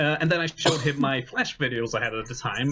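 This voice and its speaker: A man speaks with fairly even intonation. Noticeable background noise runs behind him. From Sweden. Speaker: charity marathon assistant director. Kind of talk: casual chat.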